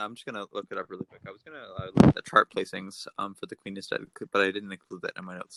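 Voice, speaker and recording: Very fast speech in a Canadian accent, with a dry, close sound and no echo. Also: man. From Canada. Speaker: music podcast co-host. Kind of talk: casual chat. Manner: halting, many fillers and restarts.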